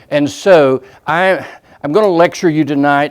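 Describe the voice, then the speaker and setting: A man with a normal speaking voice talks at a moderate pace, his pitch fairly high with ordinary variation. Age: 60s. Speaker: preacher. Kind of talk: sermon.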